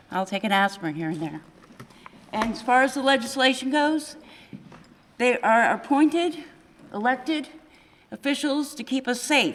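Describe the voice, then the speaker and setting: Lively intonation and long, frequent pauses mark this moderate-paced speech, heard over noticeable background noise. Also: woman, high pitch for a woman. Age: 60s. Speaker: local resident. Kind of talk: public forum comment.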